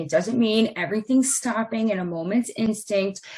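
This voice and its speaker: Recorded very cleanly against a silent background, a woman at medium pitch speaks at a moderate pace in a somewhat breathy voice with lively intonation. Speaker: real estate transaction manager. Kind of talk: training presentation.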